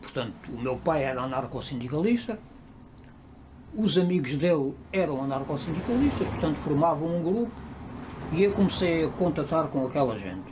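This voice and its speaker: In a room with audible echo, a man with a fairly high voice talks at a moderate pace, with very wide pitch swings and long, frequent pauses. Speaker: interviewee. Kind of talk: interview testimony.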